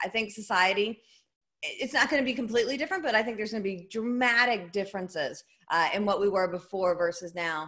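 A woman in a Southern US accent talks at a very fast pace, her medium-pitched voice bright and sharp with ordinary pitch variation. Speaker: business and networking speaker. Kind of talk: interview answer. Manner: fun, entertaining.

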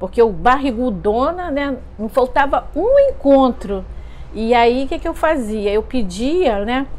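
A woman's high voice moves very slowly, its intonation lively. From Brazil. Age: 50s. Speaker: parishioner. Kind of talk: testimony. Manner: hesitant, many fillers. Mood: warm, nostalgic. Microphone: lapel.

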